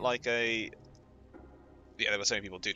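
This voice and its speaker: A man with a British accent speaks at a fairly low pitch. His pitch varies in an ordinary way. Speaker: Twitch streamer. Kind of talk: casual gameplay commentary.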